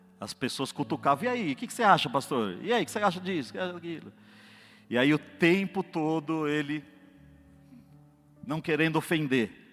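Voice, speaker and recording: A man's fairly high, lively voice at a fairly quick pace, with long, frequent pauses and music in the background. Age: 40s. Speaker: lay preacher, actor and classical singer. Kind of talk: sermon. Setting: church. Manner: animated.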